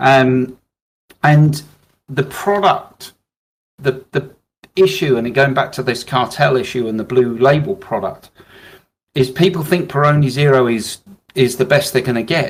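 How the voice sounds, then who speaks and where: A man with a British accent speaks at a medium pitch and a moderate pace, with ordinary pitch variation and long, frequent pauses. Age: 60s. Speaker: business owner, alcohol-free drinks distributor. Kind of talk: business advice podcast discussion.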